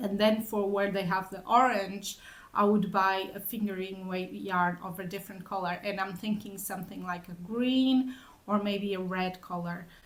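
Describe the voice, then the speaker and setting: In a room with audible echo, a woman of medium pitch speaks at a moderate pace with fairly even intonation. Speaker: knitting vlogger. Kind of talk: casual chat. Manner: halting.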